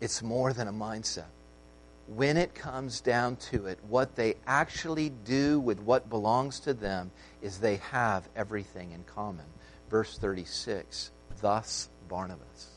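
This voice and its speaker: A man with an American accent speaks at a fairly slow pace in a fairly low pitch. His voice has vocal fry and ordinary pitch variation. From United States. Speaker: pastor. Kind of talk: sermon.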